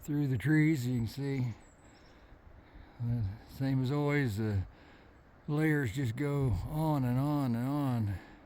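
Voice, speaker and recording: Recorded with audible room echo, a man at a medium pitch speaks at a very slow pace with long, frequent pauses, ordinary pitch variation, a relaxed, dark, mellow tone and very even loudness. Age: 60s. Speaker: hiking vlogger. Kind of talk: casual vlog narration. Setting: outdoors on a mountain trail. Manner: relaxed, hesitant with fillers.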